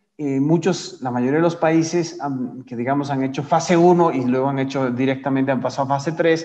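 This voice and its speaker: With audible room echo, a man speaks at a moderate pace in a dark, mellow tone with ordinary pitch variation. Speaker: climate policy trainer. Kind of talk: lecture. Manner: halting, many fillers.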